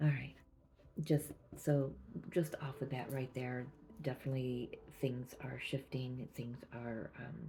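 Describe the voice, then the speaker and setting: This soft-spoken voice moves at a fairly slow pace. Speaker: tarot reader. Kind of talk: intuitive tarot reading. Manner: halting.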